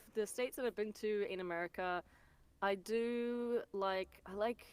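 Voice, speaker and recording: A woman with an Australian accent at a fairly high pitch, moderate pace and fairly even intonation, in a dry, close sound with no echo. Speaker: voice actor. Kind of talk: casual interview chat.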